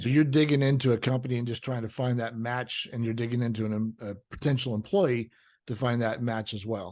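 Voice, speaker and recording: A plain, everyday voice moves at a fairly quick pace over a quiet background. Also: man, medium pitch for a man. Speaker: podcast host, insurance agency owner. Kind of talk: podcast interview host.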